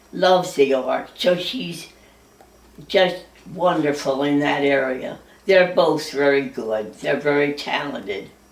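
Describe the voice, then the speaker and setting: Amid audible room echo and noticeable background noise, a woman speaks very slowly with lively intonation. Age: 80s+. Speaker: centenarian telling her life story. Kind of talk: memoir, reading from her own notes.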